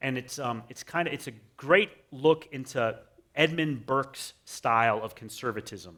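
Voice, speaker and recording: With an American accent, a man speaks at a moderate pace in a bright, sharp tone. His loudness makes big swings. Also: medium pitch for a man, ordinary pitch variation. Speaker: conservative scholar and former English professor. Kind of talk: interview conversation. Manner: halting, many fillers and restarts.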